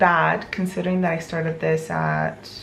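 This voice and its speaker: Noticeable background noise and audible room echo fill this recording. A woman talks through it at a moderate speed. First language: not English. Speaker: book vlogger and illustrator. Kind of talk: reading vlog to camera. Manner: casual, conversational.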